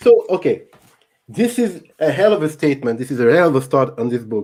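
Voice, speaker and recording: A man speaks with a French accent. His pitch is fairly high. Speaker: YouTube channel host. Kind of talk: live stream book discussion. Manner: halting.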